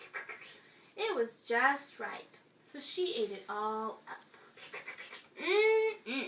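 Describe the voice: What you hear is plain reading aloud.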